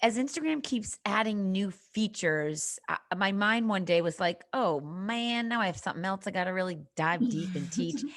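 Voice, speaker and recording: The speaker has a slight Boston accent and very wide pitch swings, talking at a moderate pace with hardly any pauses. It is a very clean recording with a silent background. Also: woman. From Boston, Massachusetts. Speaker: social media marketing coach. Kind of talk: podcast interview.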